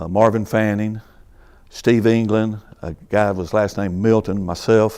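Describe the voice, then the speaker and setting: This man speaks at a fairly slow pace with a North Carolina accent and a fairly low pitch. His delivery is monotone and flat, with a dark, mellow tone. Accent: US South, North Carolina. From North Carolina, Greensboro. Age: 60s. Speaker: retired fire captain. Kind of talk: oral history interview. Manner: halting.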